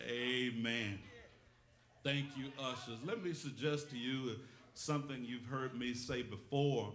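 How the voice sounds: A man's medium-pitched voice with a fairly bright tone and ordinary pitch variation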